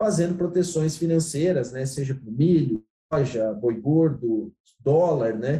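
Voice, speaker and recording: A dark, mellow, somewhat breathy tone at a moderate pace. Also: man. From Santa Catarina, Brazil. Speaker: agricultural market consultant. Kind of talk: interview on commodity markets.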